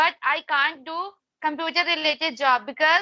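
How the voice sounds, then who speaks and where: Projecting her voice at a fairly slow pace, a woman speaks in a high pitch with a bright, sharp tone over a quiet background. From India, Madhya Pradesh. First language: Hindi. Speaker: English learner. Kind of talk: casual chat. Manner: halting.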